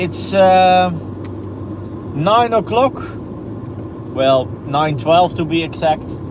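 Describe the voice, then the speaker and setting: Someone with a Dutch accent speaks very slowly with long, frequent pauses over noticeable background noise. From Netherlands, Almere. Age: 30s. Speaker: driving vlogger, real estate photographer. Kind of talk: live stream commentary while driving. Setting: in a car. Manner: halting.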